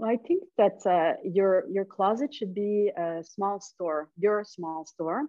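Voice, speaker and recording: Speaking very slowly with hardly any pauses, a woman uses a medium pitch and ordinary pitch variation. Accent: Quebec. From Montreal, Quebec. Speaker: men's fashion stylist. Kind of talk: podcast interview answer.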